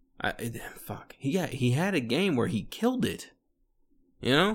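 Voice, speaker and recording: The speaker's tone is animated. Pitch swings very widely. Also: man. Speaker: solo podcast host, military veteran. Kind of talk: casual solo monologue while drinking. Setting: home recording on microphone. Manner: animated, laughing often; halting, many fillers.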